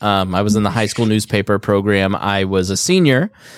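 A man in a Midwestern American accent, in a very clean recording with a silent background. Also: dry, close sound with no echo. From Indiana, US Midwest. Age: 30s. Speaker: podcast host. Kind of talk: casual chat.

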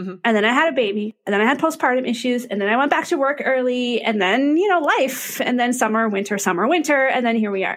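Very fast, lively-toned speech with hardly any pauses. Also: woman, high pitch for a woman. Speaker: podcast co-host. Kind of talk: casual chat between friends.

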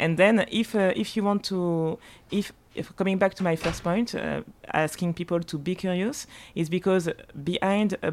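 This speaker is a woman with a French accent. She talks at a moderate pace. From Martinique and Paris. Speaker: spirits marketing director. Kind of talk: casual chat. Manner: halting.

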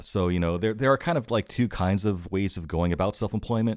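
Very fast speech from a man, captured on a very clean recording with a silent background. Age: 40s. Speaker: online technology instructor. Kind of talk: interview.

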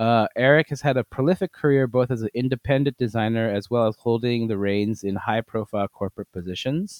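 Using a normal speaking voice with an American accent, a man talks fairly quickly at medium pitch, with ordinary pitch variation and hardly any pauses. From US, Korean American. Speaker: podcast host. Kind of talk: casual chat.

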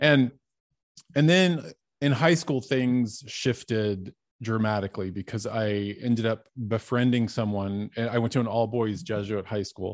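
An unremarkable speaking voice, a man at a medium pitch with an American accent, ordinary pitch variation and a fairly slow pace. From Dallas, Texas. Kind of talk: testimony.

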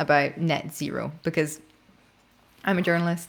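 Speaking at a moderate pace with a Scottish accent, a woman uses a fairly low pitch in a very clean recording with a silent background. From Scotland. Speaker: podcast host and investigative journalist. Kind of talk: interview conversation. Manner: informal, conversational.

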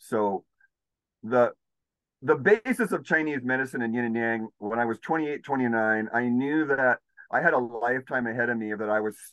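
With an American accent, an ordinary speaking voice moves at a moderate pace with ordinary pitch variation, sounding dry and close with no echo against a quiet background. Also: man. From California. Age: 50s. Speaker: healer. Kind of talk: casual chat.

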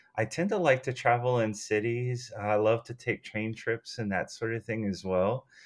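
Against a quiet background, a man with an ordinary speaking voice talks at medium pitch with fairly even intonation. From United States. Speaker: book lover and longtime listener. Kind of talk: casual chat.

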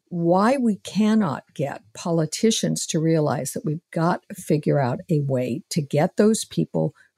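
A woman's fairly low, somewhat breathy voice with a dark, mellow tone and very wide pitch swings, at a moderate pace, in a dry, close sound with no echo. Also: very clean recording, silent background. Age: 70s. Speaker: panel regular and policy analyst. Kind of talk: political roundtable discussion.

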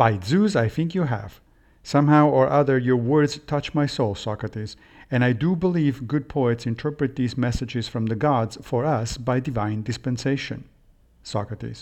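Against a quiet background, a man talks at a moderate pace in a medium pitch with ordinary pitch variation. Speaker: podcast host and philosophy lecturer. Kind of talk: scripted reading of a Plato dialogue, then lecture-style commentary. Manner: measured, formal, didactic.

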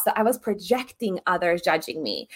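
At a fairly quick pace, a woman speaks in a normal speaking voice with ordinary pitch variation. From Serbia, moved to US at 10. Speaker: embodiment coach. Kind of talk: interview.

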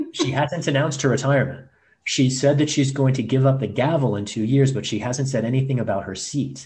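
In an American accent, a man talks at a fairly quick pace with fairly even intonation and a somewhat breathy voice. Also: medium pitch for a man. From rural Missouri. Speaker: civil rights lawyer and political candidate. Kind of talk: interview.

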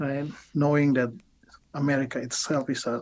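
Speaking in an Indonesian accent, a man talks at a moderate pace and medium pitch, his intonation monotone and flat. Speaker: biblical scholar, professor. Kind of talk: interview. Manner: halting.

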